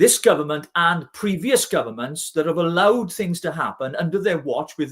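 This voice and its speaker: A man with a Welsh accent, fairly high in pitch, ordinary pitch variation, moderate pace. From Wales (Welsh Valleys). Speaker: regional party leader. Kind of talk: live-stream political discussion.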